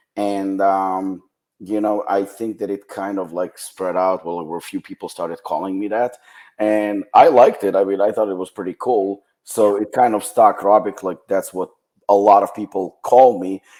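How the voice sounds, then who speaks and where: In a Ukrainian accent, a man talks at a moderate pace with a fairly low pitch and fairly even intonation. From western Ukraine. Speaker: supplement company founder. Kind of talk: podcast interview.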